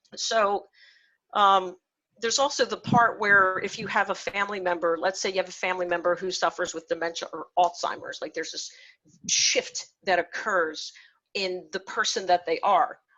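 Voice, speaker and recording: A woman with an unremarkable speaking voice talks at a moderate pace, her medium pitch carrying fairly even intonation. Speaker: workshop presenter for clinicians. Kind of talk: lecture.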